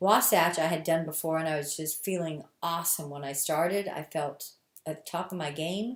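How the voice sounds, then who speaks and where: A plain, everyday voice from a woman, fairly low in pitch, at a moderate pace with ordinary pitch variation. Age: 60s. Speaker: ultra runner. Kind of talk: documentary interview.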